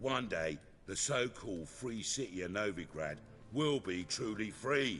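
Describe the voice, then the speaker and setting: A gruff, put-on character voice swings very widely in pitch over clear background noise. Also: man. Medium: video game. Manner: gruff, blunt, working-class speech.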